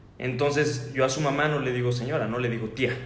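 Fairly quick speech with ordinary pitch variation, in audible room echo. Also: man. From Mexico, Querétaro. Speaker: podcast host. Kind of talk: casual chat.

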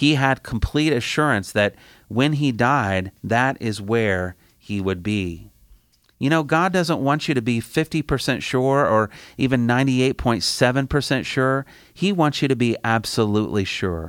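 Lively intonation runs through a man's speech. Behind him the background is silent, on a very clean recording. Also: medium pitch for a man, moderate pace. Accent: Midwestern American. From US Midwest, Indiana. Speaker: campus ministry director. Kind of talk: sermon. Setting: studio.

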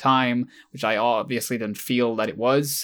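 A man's medium-pitched voice at a moderate pace, on a very clean recording with a silent background. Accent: Swedish. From Sweden. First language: Swedish. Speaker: YouTuber, video essayist. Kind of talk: casual chat. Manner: halting.

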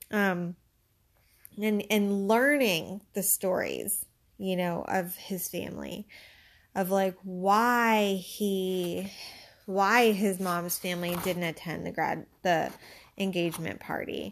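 A woman with an American accent speaks at a very slow pace. Her medium-pitched voice stays fairly even in intonation. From Pittsburgh, US. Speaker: podcast host, librarian. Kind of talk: casual book review monologue.

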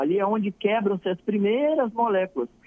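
A man's fairly quick delivery at a high pitch, with very wide pitch swings. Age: 40s. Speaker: medical doctor. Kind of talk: radio call-in medical explainer. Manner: animated.

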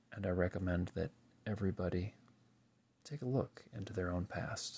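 At a moderate pace, a man speaks in a very deep, low pitch that is somewhat breathy. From US, Pennsylvania. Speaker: podcast host. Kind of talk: solo monologue reflection.

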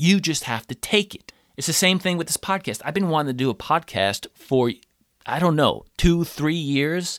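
A man with an American accent and an unremarkable speaking voice, fairly high in pitch with ordinary variation, at a moderate pace, in a very clean, silent-background recording with a dry, close sound and no echo. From United States. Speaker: podcast host and actor. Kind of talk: solo monologue, personal story. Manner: casual, conversational.

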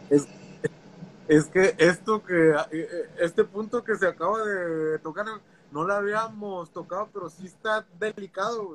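A man speaks at a high pitch and a fairly slow pace, taking long, frequent pauses. His loudness swings widely, and the sound is dry and close with no echo. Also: ordinary pitch variation. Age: 30s. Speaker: teacher. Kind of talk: casual chat.

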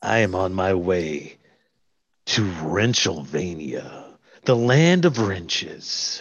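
Very slowly, a man speaks in a very deep, low pitch with lively intonation. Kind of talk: radio commercial pitch. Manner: grandiose, suggestive.

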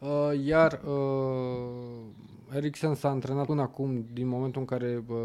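A man speaks in a monotone with flat intonation. His medium-pitched voice has a dark, mellow tone. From southern Romania. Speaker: football pundit. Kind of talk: casual chat.

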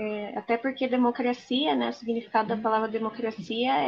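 Speaking at a moderate pace in an unremarkable speaking voice, a woman keeps a fairly high pitch with ordinary variation. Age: 20s. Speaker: lawyer and political co-candidate. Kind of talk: interview.

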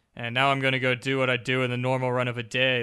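In a Canadian accent, a man talks at a medium pitch. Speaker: podcast co-host, beer reviewer. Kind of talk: casual chat.

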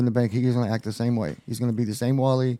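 A man's very fast delivery in a Texan accent, dark and mellow in tone. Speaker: former drug dealer turned trucking business owner. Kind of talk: casual chat.

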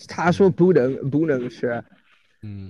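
A man with an English accent, dark and mellow in tone, at a fairly slow pace with ordinary pitch variation against a quiet background. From US. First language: English (speaking Chinese). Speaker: English teacher in China. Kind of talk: casual interview chat. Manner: halting, many fillers and repetitions.

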